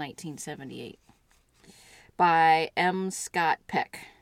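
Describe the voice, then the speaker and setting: A woman speaks at a fairly slow pace with a fairly low pitch and an ordinary speaking voice. The recording is very clean, with a silent background. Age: 40s. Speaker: podcast co-guest and partner of host. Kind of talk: casual conversation.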